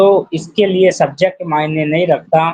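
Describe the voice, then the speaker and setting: Amid noticeable background noise, a man speaks at a high pitch. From Rajasthan, India. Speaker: poet and social worker. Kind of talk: interview. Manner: formal.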